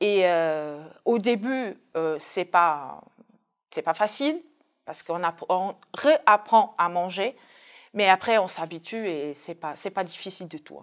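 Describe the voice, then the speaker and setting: A woman speaks at a very slow pace in a medium-pitched voice with lively intonation. Her loudness swings widely against a quiet background. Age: 30s. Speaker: dialysis patient. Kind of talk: testimony. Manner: hesitant, with fillers. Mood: calm, reflective. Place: studio. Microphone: lapel.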